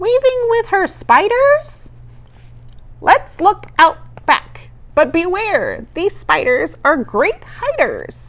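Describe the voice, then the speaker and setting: Using a put-on character voice, a woman talks very slowly at an extremely high pitch. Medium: read story.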